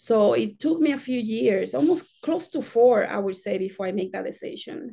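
A woman with a fairly high pitch and a dark, mellow tone talks at a moderate pace. Her voice shows vocal fry and very wide pitch swings. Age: 40s. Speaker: spiritual healer. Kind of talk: interview.

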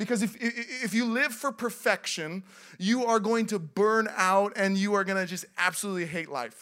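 Animated and bright, sharp in tone, a man with an American accent uses a high-pitched, raised, projected voice at a moderate pace with ordinary pitch variation, in a very clean recording with a silent background. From US Pacific Northwest, Seattle. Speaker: pastor. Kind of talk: sermon. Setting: church.

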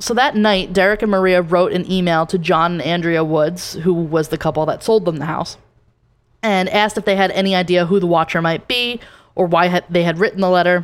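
A woman with an American accent talks at a fairly quick pace in an unremarkable speaking voice. Her pitch is fairly low, with ordinary variation. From New Jersey. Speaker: podcast co-host. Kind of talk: casual chat.

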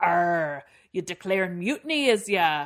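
A female-sounding voice at a medium pitch does a put-on character voice at a fairly slow pace. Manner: challenging, gruff.

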